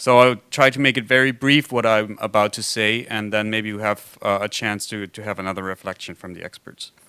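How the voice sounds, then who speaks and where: With a German accent, a man talks at a fairly quick pace with hardly any pauses, his bright, sharp tone carrying fairly even intonation and big swings in loudness, recorded dry and close with no echo. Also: fairly low pitch for a man. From Germany. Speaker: foundation representative, symposium discussant. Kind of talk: conference panel discussion remarks. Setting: conference with simultaneous translation. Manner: halting, many fillers.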